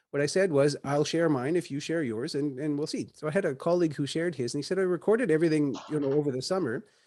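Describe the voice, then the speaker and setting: Over a quiet background, a man speaks at a very fast pace with hardly any pauses and a dark, mellow tone. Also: fairly high pitch for a man, ordinary pitch variation. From Caribbean. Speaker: university lecturer. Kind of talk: lecture.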